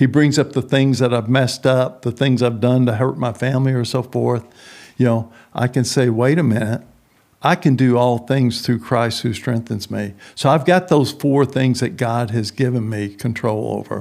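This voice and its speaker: A man with a Texan accent speaks at a moderate pace with fairly even intonation and a medium pitch, on a very clean recording with a silent background. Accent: Texan Southern US. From Texas. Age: 70s. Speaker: prison minister. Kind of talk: interview.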